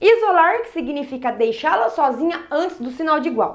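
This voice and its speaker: Very wide pitch swings run through this woman's speech. She keeps a moderate pace. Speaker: math teacher. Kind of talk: lecture.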